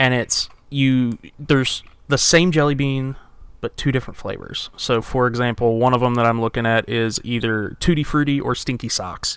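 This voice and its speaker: This man has a normal speaking voice, talking at a moderate pace in a medium pitch with fairly even intonation. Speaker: video game streamer.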